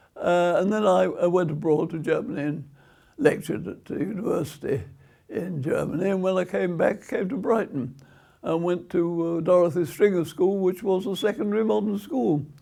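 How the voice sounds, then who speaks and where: A high-pitched male voice at a moderate pace, with ordinary pitch variation. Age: 100 year old. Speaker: retired teacher and education activist. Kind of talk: interview answer.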